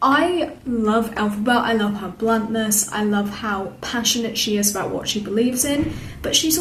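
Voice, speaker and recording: With a British accent and an enthusiastic tone, a woman swings her pitch very widely, her voice carrying audible room echo and noticeable background noise. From Britain. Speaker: theatre vlogger. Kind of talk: casual review monologue. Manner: enthusiastic, chatty with fillers.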